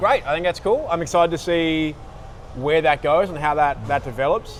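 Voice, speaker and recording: Through noticeable background noise, a man with a fairly high pitch speaks in an Australian accent at a moderate pace. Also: ordinary pitch variation. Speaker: comedy channel host. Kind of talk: mock interview host in comedy sketch.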